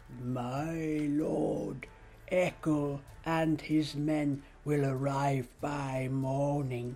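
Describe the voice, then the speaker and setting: A put-on character voice sits at a low-to-middle pitch over clear background noise. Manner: slow, clear, serious.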